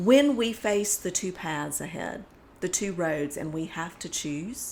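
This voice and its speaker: In a Southern US accent, a woman with a fairly low pitch speaks at a fairly slow pace with lively intonation. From US South. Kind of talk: casual faith discussion.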